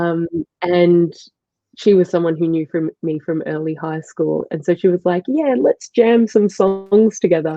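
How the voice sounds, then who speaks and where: A woman with an Australian accent, fairly low in pitch, with ordinary pitch variation. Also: moderate pace. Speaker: musician. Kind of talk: interview.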